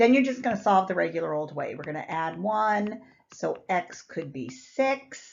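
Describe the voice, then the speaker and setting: A woman with vocal fry speaks at a moderate pace in a medium pitch, her voice making very wide pitch swings. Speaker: math teacher. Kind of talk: classroom lecture. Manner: casual, conversational.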